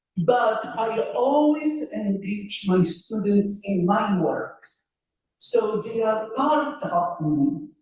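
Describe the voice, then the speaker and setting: A woman talks at a very slow pace with a fairly high pitch. Her intonation is lively, and the room echo is audible. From Poland. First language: Polish. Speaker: engineering professor. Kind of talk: panel talk.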